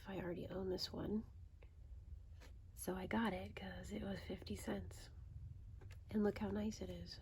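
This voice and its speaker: A soft-spoken voice talks at a moderate pace. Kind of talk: casual ASMR ramble talking to camera.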